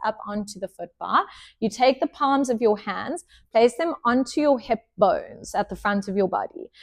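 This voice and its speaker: Loud and high-pitched, a woman speaks at a moderate pace with lively intonation, her sound dry and close with no echo, over a quiet background. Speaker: pilates instructor. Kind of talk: fitness class instruction.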